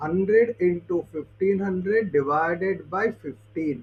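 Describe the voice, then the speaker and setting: With an Indian accent, a man talks in a high pitch. His pitch variation is ordinary. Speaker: aptitude trainer. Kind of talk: tutorial.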